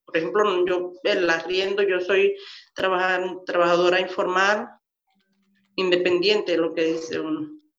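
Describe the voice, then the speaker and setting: A woman's medium-pitched voice, fairly slow and monotone, with audible room echo. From Venezuela, Maturín, Monagas. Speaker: migrant worker and foundation volunteer. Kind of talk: testimony.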